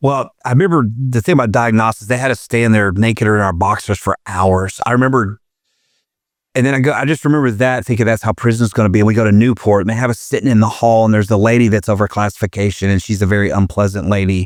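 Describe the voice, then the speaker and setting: A man with an Arkansas accent talks very fast at a fairly low pitch, with ordinary pitch variation and very even loudness, on a very clean, dry, close recording with a silent background and no echo. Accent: Southern US (Arkansas). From Arkansas, US South. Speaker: former prison inmate. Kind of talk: casual interview chat.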